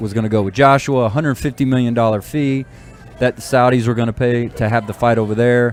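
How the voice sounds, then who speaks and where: With music in the background, a man of medium pitch speaks at a fairly quick pace with fairly even intonation. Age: 40s. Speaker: sports talk show co-host. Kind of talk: casual sports chat.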